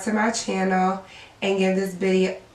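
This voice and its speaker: Audible room echo and noticeable background noise surround the speaker. She is a woman with a medium-pitched voice. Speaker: beauty vlogger. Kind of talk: makeup tutorial intro. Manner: voice cracking.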